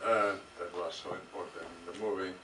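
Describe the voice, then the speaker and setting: A man with a fairly low voice speaks at a moderate pace in monotone, flat intonation. Noticeable background noise and audible room echo come through. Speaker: film director. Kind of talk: Q&A with audience, interpreting. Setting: cinema stage with audience. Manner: halting, many fillers.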